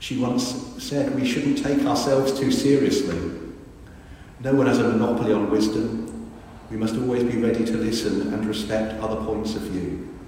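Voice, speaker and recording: A warm tone at a moderate pace, with ordinary pitch variation and noticeable background noise. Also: man, medium pitch for a man. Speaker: priest. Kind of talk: eulogy sermon, affectionate tribute with gentle self-deprecating humour. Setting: church. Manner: warm, wry and conversational; earnest, reflective and measured.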